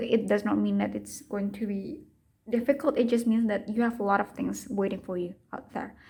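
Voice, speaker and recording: A woman with a non-native accent speaks at a fairly quick pace. Her voice sits at medium pitch, somewhat breathy, with a dark, mellow tone. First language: not English. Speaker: tarot reader. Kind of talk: tarot reading monologue. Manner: halting.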